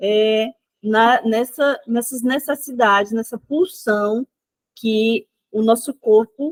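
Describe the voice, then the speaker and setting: A woman speaks at a very slow pace and fairly high pitch, with ordinary pitch variation. The sound is dry and close, with no echo. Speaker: psychoanalysis teacher. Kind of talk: online lecture.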